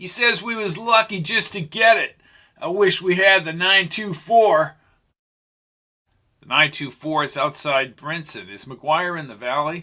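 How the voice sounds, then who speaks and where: A high-pitched put-on character voice from a man, at a moderate pace. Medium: read story. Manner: excitable, coarse.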